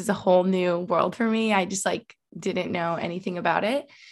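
A woman with an American accent and an ordinary speaking voice talks at a moderate pace in a medium pitch with fairly even intonation, on a very clean recording with a silent background. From Albany, New York. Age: 20s. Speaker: hockey player's girlfriend and YouTuber. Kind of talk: casual interview chat.

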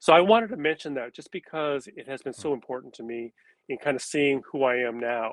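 Talking in an unremarkable speaking voice with an American accent, a man moves at a fairly quick pace and fairly high pitch, with ordinary pitch variation, big swings in loudness, and a quiet background. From California. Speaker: retired education professor. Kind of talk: interview.

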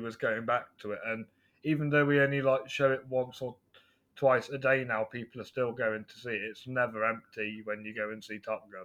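In a West Midlands accent, a man talks at a medium pitch with a bright, sharp tone and fairly even intonation. His pace is moderate, and the background is quiet. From England, West Midlands. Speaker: film reviewer podcaster. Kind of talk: casual chat.

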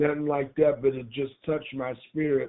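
The man talks with fairly even intonation. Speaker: caller. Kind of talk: casual chat. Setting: phone call. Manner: halting.

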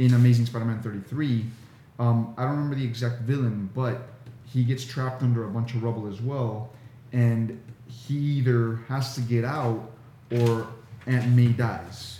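In a somewhat breathy, dark, mellow tone, a man speaks at a moderate pace and medium pitch with monotone, flat intonation. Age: 40s. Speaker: podcast co-host. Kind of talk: casual chat.

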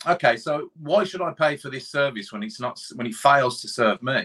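With a Birmingham accent, a man speaks at a moderate pace in a fairly high, bright and sharp voice with lively intonation, the sound dry and close with no echo. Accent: Birmingham (Brummie). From England, Birmingham. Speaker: podcast guest, commentator. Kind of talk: casual chat.

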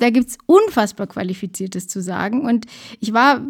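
In a very clean recording with a silent background, a woman with a fairly high pitch and a somewhat breathy voice speaks at a moderate pace with ordinary pitch variation. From Lower Bavaria. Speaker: podcast co-host. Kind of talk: casual chat.

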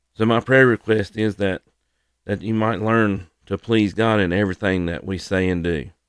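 A man speaks at a moderate pace with a fairly low pitch and fairly even intonation. The sound is dry and close, with no echo. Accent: Southern US. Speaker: podcast host and ministry leader for firefighters. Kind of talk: devotional Bible lesson. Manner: halting with many fillers.

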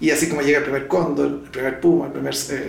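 A man is speaking in a room with audible echo. Noticeable background noise is also present. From Chile. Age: 60s. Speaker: zoo founder and veterinarian. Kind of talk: interview.

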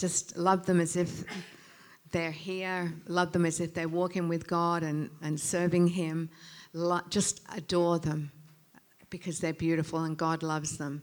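Speaking at a fairly slow pace with long, frequent pauses, a woman uses a fairly low pitch and a monotone, flat intonation on a very clean recording with a silent background. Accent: Australian. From England, moved to Australia as a child. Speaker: pastor. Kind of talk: sermon.

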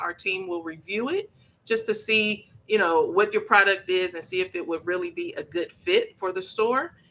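In an American accent, a woman talks at a moderate pace with ordinary pitch variation and an ordinary speaking voice. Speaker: event organizer and entrepreneur. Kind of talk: radio interview.

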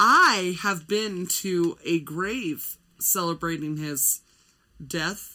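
Loud and very slow, a woman talks at a fairly low pitch in a bright, sharp tone with ordinary pitch variation. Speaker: podcast co-host. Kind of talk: casual chat. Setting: studio.

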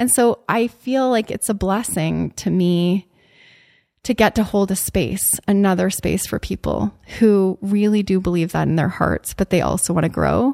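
Recorded very cleanly against a silent background with a dry, close sound and no echo, a woman speaks at a moderate pace and medium pitch, her tone dark and mellow, her pitch variation ordinary and her loudness very even. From Canada. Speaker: podcast host. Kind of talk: casual conversation.

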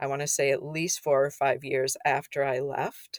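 Recorded very cleanly against a silent background, with a dry, close sound and no echo, a woman speaks at a moderate pace in an Upper Midwest accent. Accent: Upper Midwest American. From Minnesota. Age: 50s. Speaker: non-profit founder. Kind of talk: interview.

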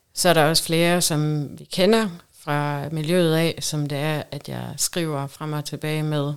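Very slowly, a woman speaks in a very deep, low pitch with monotone, flat intonation. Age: 30s. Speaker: guest in swinger lifestyle. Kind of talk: casual chat.

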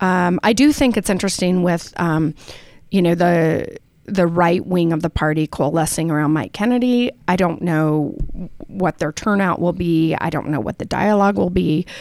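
A woman with a normal speaking voice, fairly low in pitch, talks at a moderate pace with ordinary pitch variation in a very clean recording with a silent background. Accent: American. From Utah, Salt Lake City. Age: 50s. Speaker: politician. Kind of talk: interview.

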